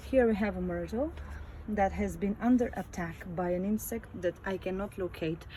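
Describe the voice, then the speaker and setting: A woman talks with a non-native accent. Her pace is moderate. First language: not English. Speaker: home gardener, channel owner. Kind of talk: garden tour video. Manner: halting, frequent fillers.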